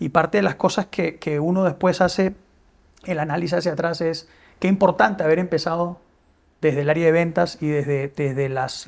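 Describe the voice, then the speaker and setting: The recording is very clean, with a silent background. A man talks at a fairly quick pace in a high voice with ordinary pitch variation. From Peru. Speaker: business executive. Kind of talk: interview. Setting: studio. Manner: hesitant, many fillers and repetitions.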